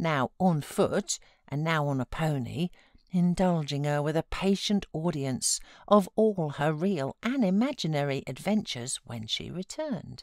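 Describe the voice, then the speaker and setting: In a very clean recording with a silent background, a woman with a British accent speaks at a fairly slow pace, the sound dry and close with no echo. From England. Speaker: voiceover artist. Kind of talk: audiobook reading.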